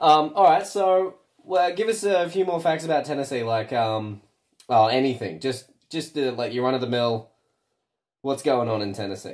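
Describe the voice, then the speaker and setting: Very wide pitch swings mark this moderately paced voice with an Australian accent. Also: man, fairly high pitch for a man. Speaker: radio host. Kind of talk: casual interview.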